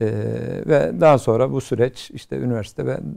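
A man's dark, mellow tone with vocal fry and very wide pitch swings, at a fairly slow pace against a quiet background. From Istanbul, Turkey; Turkey. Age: 50s. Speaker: youth NGO platform president; talk show guest. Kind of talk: TV talk show interview. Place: studio. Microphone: lapel.

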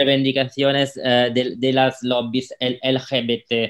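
A man with an Italian accent speaks at a very slow pace. His pitch varies in an ordinary way, and the background is quiet. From Italy, Rome. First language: Italian (speaking Spanish). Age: 30s. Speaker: local politician. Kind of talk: interview. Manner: halting, many fillers. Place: home room.

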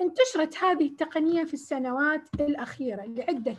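A woman with a southern Iraqi accent, at a fairly slow pace. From Iraq, Basra. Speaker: agricultural researcher; lecturer presenting research. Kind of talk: lecture. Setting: video call. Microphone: video call.

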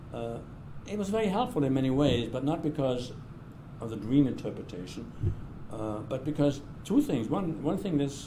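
In a German accent, a man speaks with lively intonation and long, frequent pauses over noticeable background noise. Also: moderate pace. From southern Germany, then England. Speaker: retired political science professor. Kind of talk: oral history interview. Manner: halting, with frequent fillers and repetitions.

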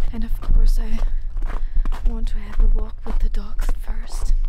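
A woman speaks at a moderate pace over loud background noise. The sound is dry with no echo. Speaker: ASMR vlogger. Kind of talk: casual talk to camera, travel vlog. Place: open country. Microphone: phone near.

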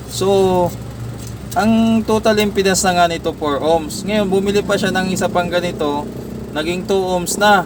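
The pace of the speech is fairly slow. Noticeable background noise can be heard. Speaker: electronics technician vlogger. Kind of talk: tutorial. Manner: halting, stutters at times.

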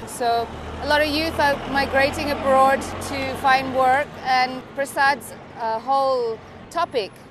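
Delivery is fairly slow, with a monotone, flat intonation. The sound is dry with no echo, though noticeable background noise runs underneath. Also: woman, high pitch for a woman. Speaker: interviewee. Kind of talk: interview answer. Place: street.

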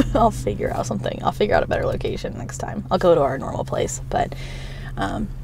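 Set to background music, the voice races along at a very fast pace with a dry sound and no echo. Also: woman. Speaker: vlogger. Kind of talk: casual vlog chat. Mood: warm, caring, emotional. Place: car. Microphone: phone near.

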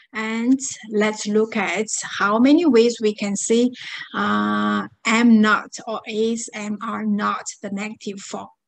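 Speaking in a Chinese accent, a woman talks at a very slow pace with fairly even intonation. Her pitch is fairly high, and the background is quiet. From China. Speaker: Japanese language teacher. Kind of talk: lecture. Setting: online class. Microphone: webcam.

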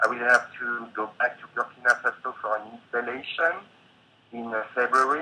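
A man with a French accent at a moderate pace, ordinary pitch variation, and light background noise. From France. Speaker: painter and installation artist. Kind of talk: interview. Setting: video call. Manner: halting. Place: home room. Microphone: video call.

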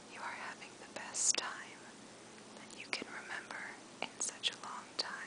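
The voice is whispering. It stays soft-spoken throughout. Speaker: sleep story narrator. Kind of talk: guided relaxation story, soft spoken. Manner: soft whispered storytelling.

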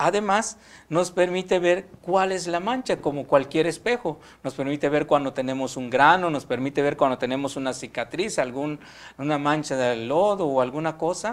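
This man talks at a moderate pace with a fairly high pitch. His intonation is lively. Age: young. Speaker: seminarian. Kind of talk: religious teaching. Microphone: lapel.

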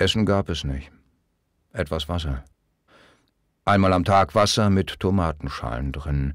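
A man with a very deep, low voice speaks at a fairly slow pace with ordinary pitch variation and long, frequent pauses. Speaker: audiobook narrator. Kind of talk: audiobook reading of memoir, first-person recollection. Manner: somber, reflective.

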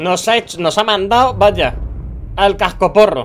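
Someone speaks at a fairly slow pace with a Castilian accent over noticeable background noise. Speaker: gaming youtuber. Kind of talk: live gameplay commentary. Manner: animated.

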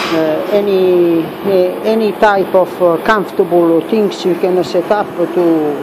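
The pace is very slow. Background noise is noticeable. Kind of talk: casual workshop tutorial chat. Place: workshop. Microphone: phone near.

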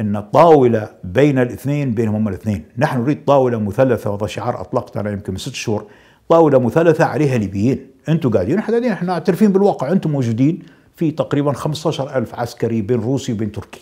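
A man with a Libyan accent talks at a very fast pace and medium pitch, with lively intonation and a dark, mellow tone against a quiet background. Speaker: politician. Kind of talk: interview. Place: studio. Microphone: lapel.

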